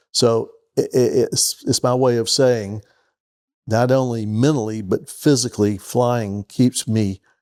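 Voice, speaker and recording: In a Southern US accent, a man speaks at a fairly slow pace with medium pitch and fairly even intonation. The sound is dry and close with no echo, a very clean recording over a silent background. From US South (Georgia). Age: 70s. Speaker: retired business executive and pilot. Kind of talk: interview.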